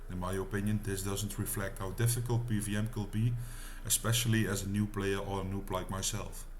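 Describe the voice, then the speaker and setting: There is audible room echo as a man speaks with a Dutch accent at a fairly quick pace. His fairly low voice keeps a monotone, flat intonation. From Netherlands. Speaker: gaming YouTuber. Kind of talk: gameplay tutorial narration. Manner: casual.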